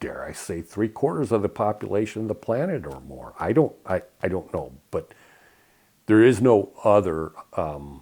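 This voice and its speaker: A man with an American accent has a fairly low, dark, mellow voice with vocal fry. His pitch swings very widely and his loudness rises and falls sharply. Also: moderate pace. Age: 60s. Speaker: spiritual video blogger. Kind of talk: casual monologue. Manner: halting, many fillers.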